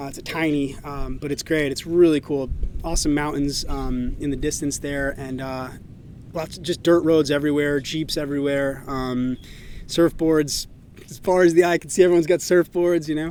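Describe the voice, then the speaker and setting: This man talks at a fairly high pitch with fairly even intonation. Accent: American. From New England, Massachusetts. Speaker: podcast host. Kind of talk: casual monologue. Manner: fast, filler-heavy.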